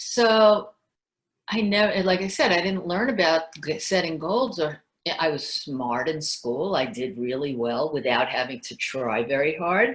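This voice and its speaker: A woman with a New York accent speaks at a fairly slow pace. Her pitch is fairly low, with very wide swings. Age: 60s. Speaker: former journalist and salesperson. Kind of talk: interview.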